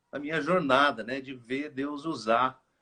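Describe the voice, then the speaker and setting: The man's voice sits at a fairly high pitch. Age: 60s. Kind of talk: interview. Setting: live stream interview.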